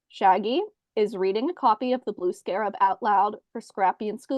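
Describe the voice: Plain reading aloud with ordinary pitch variation comes through against a quiet background.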